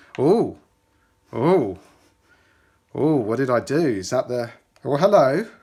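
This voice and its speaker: Over a very clean recording with a silent background, a man with a British accent speaks at a fairly high pitch with very wide pitch swings. He goes at a very slow pace, with long, frequent pauses. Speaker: tech YouTuber. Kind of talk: unboxing commentary. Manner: casual, halting.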